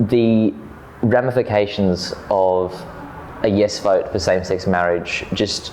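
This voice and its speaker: A man with an Australian accent and fairly low pitch, at a very slow pace, with fairly even intonation, very even loudness, and noticeable background noise. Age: young. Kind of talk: interview answer.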